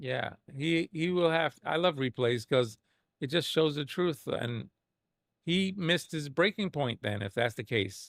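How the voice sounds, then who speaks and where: The speaker talks at a fairly slow pace with lively intonation, the sound dry and close with no echo. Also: man, fairly high pitch for a man, very clean recording, silent background. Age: 50s. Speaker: sim racing streamer. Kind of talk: live stream commentary reviewing a replay. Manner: animated; halting.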